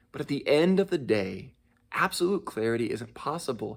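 A man speaks at a moderate pace in a plain, everyday voice with lively intonation. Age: 20s. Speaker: church intern preaching. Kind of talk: sermon.

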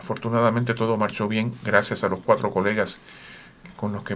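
A man at a fairly quick pace, fairly low in pitch, with monotone, flat intonation. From Puerto Rico. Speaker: orchestra conductor and horn player. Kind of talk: radio interview. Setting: radio studio.

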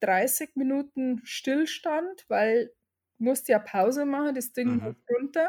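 A woman speaks very slowly in a high pitch. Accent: Bavarian. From Upper Bavaria, Germany. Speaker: hairdresser and salon owner. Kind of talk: interview. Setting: video call.

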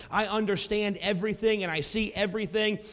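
Loud and animated, a man talks at a moderate pace. His pitch is high. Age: 40s. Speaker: pastor. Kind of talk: sermon. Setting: church. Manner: loud, animated.

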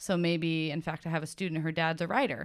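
In a very clean recording with a silent background, a woman speaks at a moderate pace in an unremarkable speaking voice, fairly low in pitch. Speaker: elementary teacher. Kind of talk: casual chat, interview over wine.

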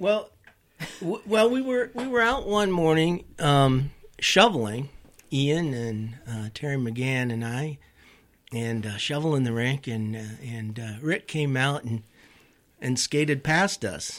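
A fairly high-pitched man with an American accent, very wide pitch swings, a fairly slow pace, and long, frequent pauses. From Colorado and South Dakota. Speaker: musician and ice skater. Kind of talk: casual chat. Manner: halting, repeats words.

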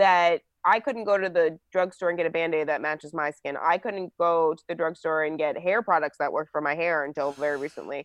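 A woman with an American accent talks in a normal speaking voice, fairly low in pitch, at a fairly quick pace with hardly any pauses and fairly even intonation, against a quiet background in a dry, close sound with no echo. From New Jersey. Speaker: political commentator. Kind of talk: casual chat.

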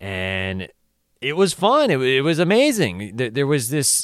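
The speaker has a Southern California accent and talks at a very slow pace. The recording is very clean, with a silent background. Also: man. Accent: Southern California local dialect. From Orange County, California. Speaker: podcast host and stand-up comedian. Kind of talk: casual solo podcast monologue. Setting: solo recording on camera.

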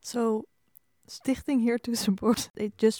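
A woman with a Dutch accent speaks at a moderate pace in a dark, mellow tone with flat, monotone intonation. The recording is very clean, with a silent background. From Netherlands. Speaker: podcast interviewer. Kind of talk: interview conversation.

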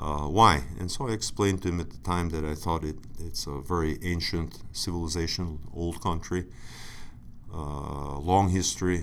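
In an Inland North US accent, the speaker talks at a moderate pace with ordinary pitch variation and audible room echo. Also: man. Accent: American, Inland North. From Buffalo, New York, US. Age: 50s. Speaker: alumnus, sinology patron. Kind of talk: interview storytelling. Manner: halting, many fillers.

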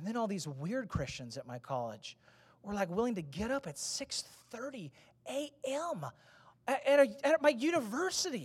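With vocal fry and a fairly high pitch, a woman speaks in an animated tone, her pitch swinging very widely and her loudness shifting in big swings. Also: moderate pace. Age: 30s. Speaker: pastor. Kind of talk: sermon.

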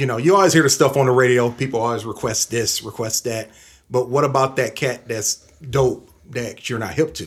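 Somewhat breathy speech comes at a fairly quick pace with fairly even intonation, in an American accent. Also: man, medium pitch for a man. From Toledo, Ohio. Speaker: DJ. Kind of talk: casual interview.

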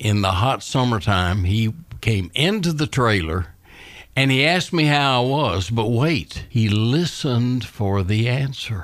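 Recorded very cleanly against a silent background, the speaker talks fairly slowly with a Southern US accent, lively intonation and very even loudness. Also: man, medium pitch for a man. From Scottsville, Kentucky. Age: 80s+. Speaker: retired business executive. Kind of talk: radio interview.

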